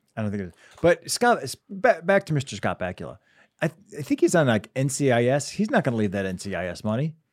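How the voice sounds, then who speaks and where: Speaking at a very fast pace, a man with a medium pitch and vocal fry swings his pitch very widely, the sound dry and close with no echo. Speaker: podcast co-host. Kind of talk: casual chat.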